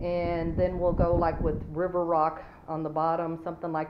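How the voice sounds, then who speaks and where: A woman with a very deep, low pitch speaks at a moderate pace over light background noise. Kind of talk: casual build commentary. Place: home room. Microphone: phone near.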